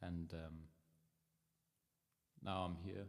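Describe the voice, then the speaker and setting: A man speaks with a Danish accent. His pace is fairly slow. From Denmark. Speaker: musician livestreamer. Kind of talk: casual chat. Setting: livestream. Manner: halting.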